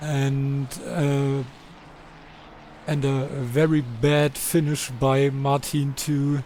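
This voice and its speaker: A man with a German accent speaks at a fairly high pitch in a monotone, flat intonation. Noticeable background noise runs under him. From Germany. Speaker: sim racing commentator. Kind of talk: live commentary. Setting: live stream. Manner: halting.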